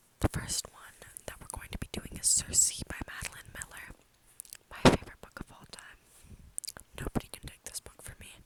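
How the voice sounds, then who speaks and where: Someone whispers at a fairly quick pace, broken by long, frequent pauses, with noticeable background noise. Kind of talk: casual talk to camera.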